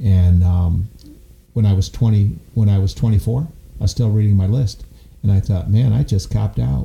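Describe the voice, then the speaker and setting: Noticeable background noise behind a man's fairly low voice, with ordinary pitch variation at a moderate pace. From upstate New York. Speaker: gym owner and founder. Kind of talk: interview storytelling. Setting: studio.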